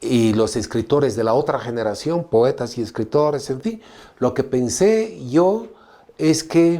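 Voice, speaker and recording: A man talks at a medium pitch and a fairly slow pace, his tone dark and mellow. His pitch swings very widely, and the recording is very clean with a silent background. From Bolivia, Tarija. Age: 60s. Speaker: novelist. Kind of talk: interview.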